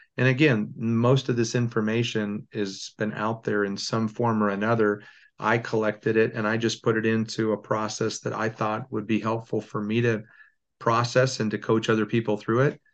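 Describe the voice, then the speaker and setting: Here a man with an American accent and a medium pitch speaks at a moderate pace. His intonation is monotone and flat, and the background is quiet. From Southern California (Temecula area). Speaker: success coach and former arena football player. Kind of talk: casual interview chat.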